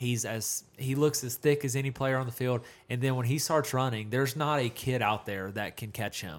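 A man's plain, everyday voice at medium pitch, with ordinary pitch variation, a moderate pace and hardly any pauses. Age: 20s. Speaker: high school football podcast co-host. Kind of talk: casual sports chat.

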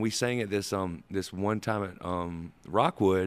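In a very clean recording with a silent background, a man with a Southern US accent speaks with ordinary pitch variation. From US South, rural Georgia (Sandersville). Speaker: musician, band member. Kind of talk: casual interview chat.

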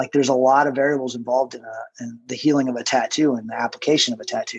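A man speaks at a very fast pace in a medium pitch. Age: 40s. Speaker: tattoo artist. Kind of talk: casual chat.

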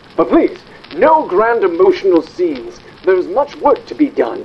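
A man speaks in a put-on character voice, high-pitched, at a fairly slow pace, with very wide pitch swings.

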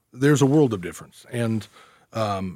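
A man with an American accent speaks in a normal speaking voice at a fairly low pitch and a fairly quick pace. The recording is very clean, with a silent background. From US Midwest, northeast Missouri. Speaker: trial attorney. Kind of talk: casual chat. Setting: studio.

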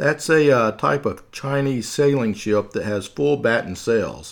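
This very clean recording has a silent background. A man with a Southern US accent talks with ordinary pitch variation. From US South. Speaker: podcast host. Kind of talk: scripted narration with humorous asides. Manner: humorous, casual.

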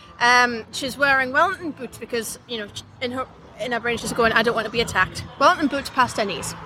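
A woman speaks in a high voice with ordinary pitch variation while crowd noise carries on in the background. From northern England. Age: 30s. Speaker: singer. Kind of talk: casual chat.

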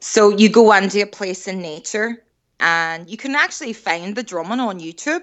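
With a Northern Irish accent, a woman speaks at a moderate pace and medium pitch, with lively intonation and big swings in loudness. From Northern Ireland, Derry. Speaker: recovering alcoholic and artist. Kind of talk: interview.

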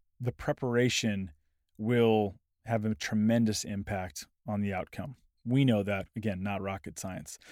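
A man speaks fairly slowly at a fairly low pitch, energetic and enthusiastic. The sound is dry and close with no echo. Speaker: podcast host and sales consultant. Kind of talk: solo podcast monologue, communication tips. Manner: energetic, enthusiastic.

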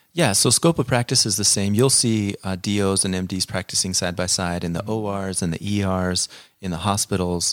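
A man with a plain, everyday voice and a fairly low pitch talks at a moderate pace with ordinary pitch variation, on a very clean recording with a silent background and a dry, close sound with no echo. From central Nevada, US. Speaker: family physician. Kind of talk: interview.

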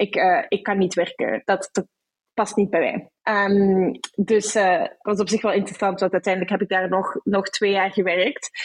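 Dry, close sound with no echo, very even loudness, a moderate pace and fairly even intonation. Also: woman, medium pitch for a woman. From Belgium, Brussels. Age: 20s. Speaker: HR professional. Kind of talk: interview. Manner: hesitant, many fillers.

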